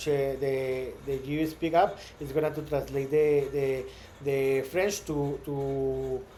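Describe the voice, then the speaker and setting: A man with a Spanish accent speaks at a fairly high pitch with fairly even intonation, with audible room echo around him. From Mexico. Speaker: startup founder. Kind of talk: vlog monologue. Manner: halting, many repetitions.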